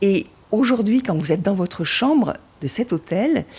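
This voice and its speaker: Her voice is dark and mellow, somewhat breathy, and medium in pitch. This woman speaks fairly slowly with very wide pitch swings. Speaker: traveller. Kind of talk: travel storytelling. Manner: halting.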